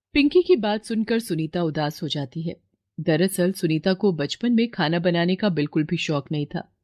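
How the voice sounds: At a moderate pace, a woman with a fairly low pitch and a slightly mellow tone speaks with lively intonation in a dry, close recording with no echo.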